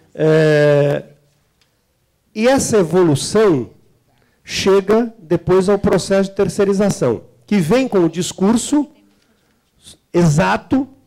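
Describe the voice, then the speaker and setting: A man's high-pitched voice, dark and mellow in tone, with lively intonation, very even loudness, a very slow pace and long, frequent pauses. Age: 60s. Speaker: trade unionist and government representative. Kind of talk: seminar talk. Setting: seminar hall with audience.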